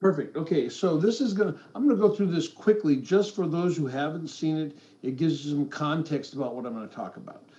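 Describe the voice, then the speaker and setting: In a room with audible echo, a man with a dark, mellow tone and fairly high pitch talks at a fairly quick pace, his loudness swinging widely. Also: hardly any pauses. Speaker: football officiating supervisor. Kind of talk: lecture. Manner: fast.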